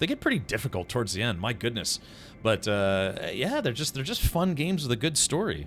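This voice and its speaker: Pitch swinging very widely around a medium level, a man talks at a fairly quick pace. The recording is very clean, with a silent background. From Hawaii. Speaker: video game streamer. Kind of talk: casual gameplay commentary chatting with viewers. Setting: live stream. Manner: casual, hesitant with many fillers.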